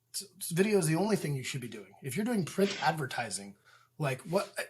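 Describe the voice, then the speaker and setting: A man with an American accent speaks in an unremarkable speaking voice, fairly high in pitch. His intonation is lively and his pace fairly quick. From Indiana, US Midwest. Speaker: real estate agent and property manager. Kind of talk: casual interview. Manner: many fillers and repeated words.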